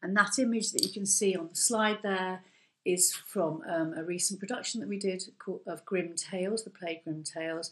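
A woman at a moderate pace, with ordinary pitch variation. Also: quiet background. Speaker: course lecturer. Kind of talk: webinar presentation. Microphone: webcam.

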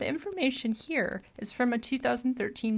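Somewhat breathy, a woman speaks with an American accent and ordinary pitch variation. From Michigan. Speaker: college geology instructor. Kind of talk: recorded mini lecture.

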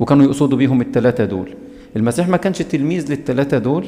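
A man's voice with ordinary pitch variation, faint music in the background. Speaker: bible study teacher. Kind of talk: sermon-style bible lecture. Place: church.

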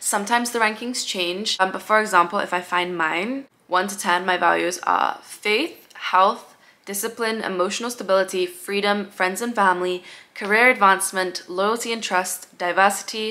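Her intonation fairly even, a woman speaks at medium pitch and a moderate pace. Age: 20s. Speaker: YouTuber. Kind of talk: casual chat. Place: home room.

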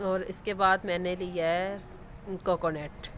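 Slow and fairly low, a woman's voice with a fairly bright tone shows little pitch movement.

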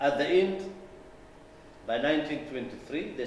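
Light background noise and audible room echo surround a man speaking at a fairly high pitch. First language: not English. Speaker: political lecturer. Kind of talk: lecture. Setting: hall with live audience. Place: meeting room.

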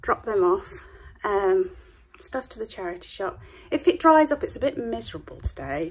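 Here a woman is talking. Her pace is moderate. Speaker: shop owner vlogger. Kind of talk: casual vlog chat. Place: shop. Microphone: phone near.

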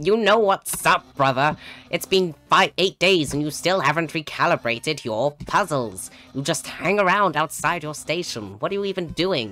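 Faint music sits behind a put-on character voice at a middle pitch, delivered at a moderate pace. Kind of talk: brotherly, scolding. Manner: loud, goofy, exasperated.

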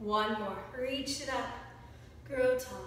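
A woman speaks at a high pitch with fairly even intonation. Strong room echo and light background noise surround her voice. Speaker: yoga instructor. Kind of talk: guided yoga class, giving calm, encouraging step-by-step cues timed to the breath. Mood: calm, encouraging. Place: home room. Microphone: camera far.

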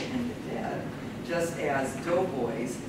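A woman speaks at a moderate pace in a room with audible echo and loud background noise. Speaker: panel chair introducing papers. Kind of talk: conference introduction read from notes. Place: classroom. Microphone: camera far.

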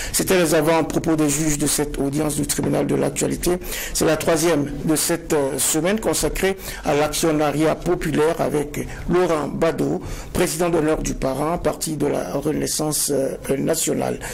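A man speaks at a moderate pace with a fairly high pitch, in an ordinary speaking voice. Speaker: TV show host. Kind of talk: moderated TV debate. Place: studio. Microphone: lapel.

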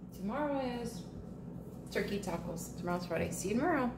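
Against clear background noise, a woman speaks at a moderate pace with a fairly high pitch and big pitch swings.

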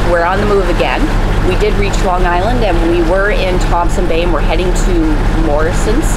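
Loud background noise surrounds a woman who talks fairly quickly. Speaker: sailing vlogger. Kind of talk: casual vlog chat. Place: boat. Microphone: phone near.

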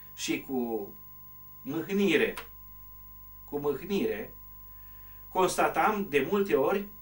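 The man talks very slowly, and his intonation is lively. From Romania, Bârgău Valley, Bistrița area (Transylvania); Transylvania. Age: old. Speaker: retired teacher and local author; retired teacher. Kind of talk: interview. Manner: hesitant, with frequent fillers.

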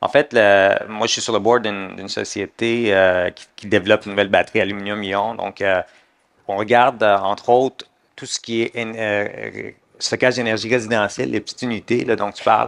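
This man has an ordinary speaking voice, pitched fairly low, with fairly even intonation. The background is quiet. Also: moderate pace. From Middle East. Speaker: lawyer. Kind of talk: panel discussion. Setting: conference stage with audience. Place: stage. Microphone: headset.

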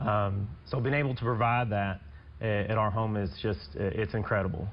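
There is vocal fry in this man's voice as he talks at a fairly quick pace. Light background noise is present. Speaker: guest. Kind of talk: interview answer. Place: studio.

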